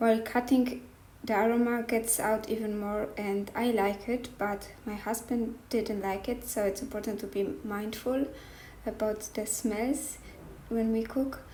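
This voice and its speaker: In a non-native accent, a woman speaks at a fairly slow pace with a fairly high pitch and monotone, flat intonation, with audible room echo. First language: not English. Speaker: cooking vlogger. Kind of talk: cooking tutorial. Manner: halting.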